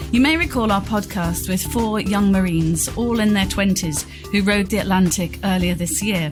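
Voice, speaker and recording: Music plays in the background while a woman speaks at a moderate pace. Her pitch is medium, with ordinary variation. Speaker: journalist, podcast host. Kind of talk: podcast interview host.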